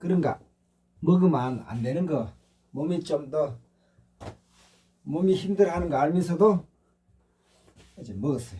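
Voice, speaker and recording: A man speaks in a fairly high pitch with a dark, mellow tone and some vocal fry. His intonation is lively, broken by long, frequent pauses. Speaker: meditation/spiritual channel host. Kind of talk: casual monologue. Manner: slightly slurred pronunciation.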